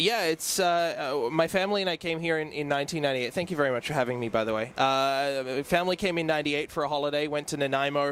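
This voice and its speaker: With an Australian accent, a man talks at a very fast pace with hardly any pauses, his fairly high voice showing ordinary pitch variation. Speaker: hockey play-by-play broadcaster. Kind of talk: interview.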